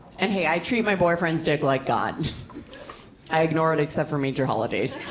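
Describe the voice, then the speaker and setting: At a fairly quick pace, a woman with a very deep, low voice and ordinary pitch variation keeps her loudness very even, amid audible room echo and noticeable background noise. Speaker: stand-up comedian. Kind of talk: stand-up. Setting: stage with audience.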